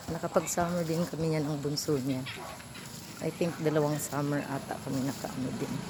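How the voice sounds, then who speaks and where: Soft-spoken and very deep and low in pitch, a woman talks at a moderate pace with fairly even intonation, amid audible room echo and noticeable background noise. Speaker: vlogger and tutor. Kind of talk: casual vlog while walking. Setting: outdoors walking in a subdivision.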